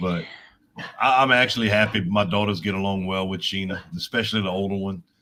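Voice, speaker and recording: Talking at a fairly quick pace, a man with fairly low pitch has a bright, sharp tone. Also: fairly even intonation. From Louisiana (Cajun). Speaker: livestream co-guest. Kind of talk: casual chat.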